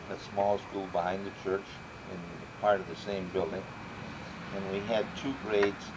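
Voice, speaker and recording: A man with a fairly low pitch and monotone, flat intonation, at a fairly slow pace with long, frequent pauses, over noticeable background noise and audible room echo. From Chicago area, Illinois (Cicero/Berwyn). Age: 70s. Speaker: grandfather interviewed for family history. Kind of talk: family history interview.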